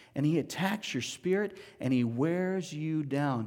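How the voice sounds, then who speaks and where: With lively intonation and a fairly slow pace, a man speaks amid audible room echo. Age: 40s. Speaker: pastor. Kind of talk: sermon.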